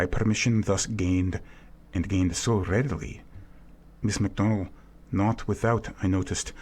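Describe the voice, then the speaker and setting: A man speaks with long, frequent pauses and very even loudness. His voice is somewhat breathy, with fairly even intonation. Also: fairly low pitch for a man, moderate pace. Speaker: voice actor. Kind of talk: audiobook narration.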